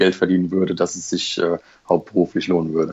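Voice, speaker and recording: Very deep and low, a man's voice rushes along at a very fast pace in monotone, flat intonation. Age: 30s. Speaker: Lego collector and private investor. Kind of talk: casual interview.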